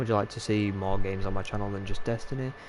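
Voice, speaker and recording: A man with a Yorkshire accent at a very fast pace. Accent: Yorkshire, drops T's. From Yorkshire, northern England. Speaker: gaming streamer. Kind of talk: live gameplay stream chat. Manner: casual, filler-heavy.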